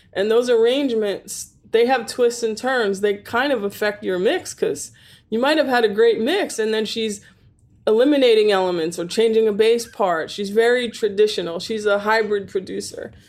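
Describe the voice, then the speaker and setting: A plain, everyday voice from a woman, fairly high in pitch, at a moderate pace with ordinary pitch variation. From New York (Staten Island). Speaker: recording engineer and studio owner. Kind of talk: interview.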